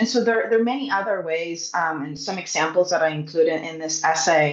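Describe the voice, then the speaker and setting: With a Spanish accent, a woman speaks at a fairly low pitch with ordinary pitch variation, and room echo is audible. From Puerto Rico. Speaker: science communicator. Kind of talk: panel discussion.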